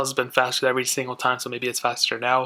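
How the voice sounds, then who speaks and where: A man speaks at a very fast pace with a medium pitch and a bright, sharp tone. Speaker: tech reviewer. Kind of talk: product comparison review. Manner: casual, conversational.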